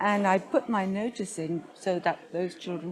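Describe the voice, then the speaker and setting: A woman talks at a fairly slow pace over crowd noise in the background. Her pitch is medium, with ordinary variation. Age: 60s. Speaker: patient advocate. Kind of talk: interview. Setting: conference.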